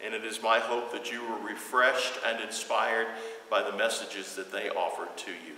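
The speech moves at a moderate pace. Light background noise and audible room echo can be heard. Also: man. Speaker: pastor. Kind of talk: welcome address to a livestream congregation. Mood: warm, somewhat somber. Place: church.

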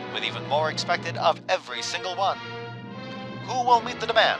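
A man's dramatic delivery at a moderate pace, with music in the background. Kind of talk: newsreel-style narration for a video game. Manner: dramatic, authoritative.

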